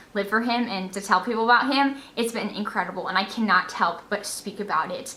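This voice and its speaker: An animated woman talks at a very fast pace. Background noise is noticeable. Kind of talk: vlog exhortation to camera.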